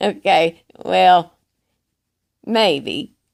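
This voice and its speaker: This is a put-on character voice. It is full of cackling. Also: woman, fairly low pitch for a woman. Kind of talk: comic character monologue. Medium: solo performance. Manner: rambling, repetitive, cackling.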